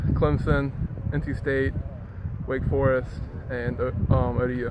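A man talks at a fairly slow pace with loud background noise behind him. His voice sounds dry, with no echo. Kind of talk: interview answer. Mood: polite, modest. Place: stadium. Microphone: phone near.

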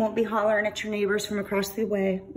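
Light background noise behind a female speaker. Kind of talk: casual walkthrough tour narration. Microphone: phone near.

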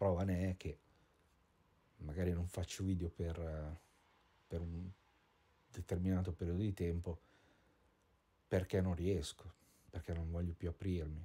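A man talks in a very deep, low pitch with a dark, mellow, somewhat breathy tone. His intonation is monotone and flat, broken by long, frequent pauses. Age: 40s. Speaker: vlogger and painter. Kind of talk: personal video diary monologue. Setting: at home, indoors. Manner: halting, many fillers and repetitions.

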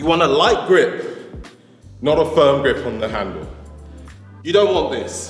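A man at a moderate pace, with audible room echo and faint music in the background. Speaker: fitness trainer. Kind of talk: tutorial. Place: gym.

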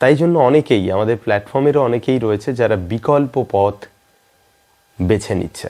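A man talks at a fairly quick pace with a fairly low pitch. His tone is dark and mellow. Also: ordinary pitch variation.

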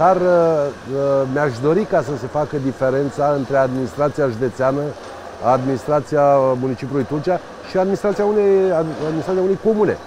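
Speaking at a fairly quick pace, a man with a fairly high voice sounds dry with no echo, though noticeable background noise is present. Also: ordinary pitch variation. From Romania, Buzău county; Romania. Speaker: county council president and candidate; county council president, candidate. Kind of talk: interview. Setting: outdoors by a riverside promenade under construction. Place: waterside.

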